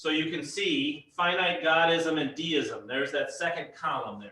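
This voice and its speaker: Audible room echo around a man talking fairly slowly. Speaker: pastor teaching a Bible class. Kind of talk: lecture.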